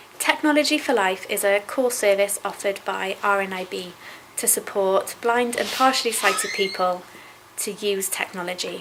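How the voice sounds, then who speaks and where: Noticeable background noise runs throughout. Over it, a woman speaks at a moderate pace. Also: medium pitch for a woman, ordinary pitch variation. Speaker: sight-loss charity staff member. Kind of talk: interview answer.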